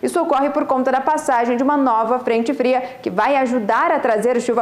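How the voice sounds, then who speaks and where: Room echo can be heard as a woman speaks at a fairly quick pace. Her pitch is high, and her intonation stays fairly even. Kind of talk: weather forecast presentation. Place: studio. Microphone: lapel.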